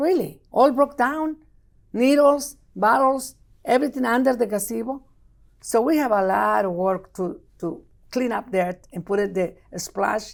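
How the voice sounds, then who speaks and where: Speaking at a fairly slow pace with a strong Mexican accent, a woman uses lively intonation at a fairly high pitch. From Mexico. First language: Spanish. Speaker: city council member. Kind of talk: interview. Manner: animated.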